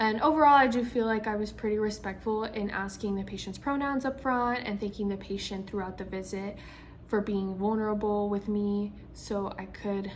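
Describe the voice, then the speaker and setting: A woman with a fairly high pitch, a moderate pace, fairly even intonation and audible room echo. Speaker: physician assistant student. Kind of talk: spoken self-reflection. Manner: hesitant, many ums and stutters.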